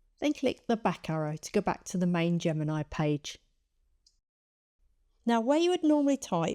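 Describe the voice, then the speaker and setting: Dark, mellow tone at a moderate pace with very wide pitch swings, on a very clean recording with a silent background and a dry, close sound with no echo. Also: woman. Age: 50s. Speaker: channel host and AI educator. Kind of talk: casual instructional talk to camera. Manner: clear, friendly, explanatory.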